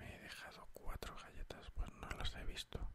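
A man is whispering. His pace is moderate. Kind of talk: whispered ASMR gameplay commentary. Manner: whispered, soft.

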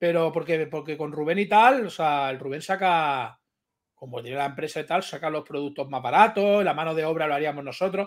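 Against a quiet background, a man talks at a fairly quick pace in a fairly high voice with ordinary pitch variation. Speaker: YouTube streamer. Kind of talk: casual chat. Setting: video call. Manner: crude, blunt. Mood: relaxed, chatty. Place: home room. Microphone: video call.

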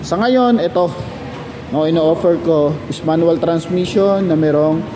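A man with a high pitch speaks at a fairly slow pace with ordinary pitch variation. Noticeable background noise runs underneath. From Philippines. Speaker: car sales agent. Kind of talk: sales pitch. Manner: animated. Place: shop. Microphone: phone near.

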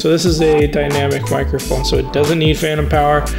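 A man talks over clear music in the background. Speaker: audio gear reviewer. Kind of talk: tutorial. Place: studio.

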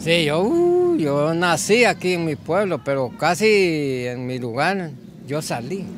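The man's pitch is high, with lively intonation. He speaks at a very slow pace. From Honduras, El Negrito, Yoro. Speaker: local resident interviewed on the street. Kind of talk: street interview. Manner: halting, repeats words.

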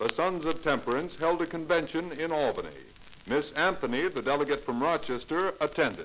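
In a normal speaking voice, a man talks at a fairly quick pace with a fairly high pitch and fairly even intonation, with light background noise behind him. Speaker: radio narrator. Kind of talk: educational radio drama narration. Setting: vintage radio recording, around 1950. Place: studio. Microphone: old recording.

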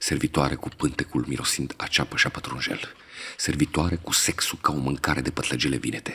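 The speaker goes at a fairly quick pace with fairly even intonation. Noticeable background noise is present. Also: man, very deep, low pitch for a man. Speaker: poetry reader. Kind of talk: poem reading, audio poetry.

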